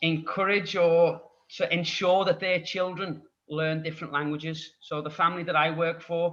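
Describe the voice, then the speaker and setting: A man speaks in a Scouse accent, high-pitched with a bright, sharp tone. His pace is moderate and his intonation monotone and flat. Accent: Scouse (Liverpool) English. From Liverpool, England. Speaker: English tutor. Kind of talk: podcast interview.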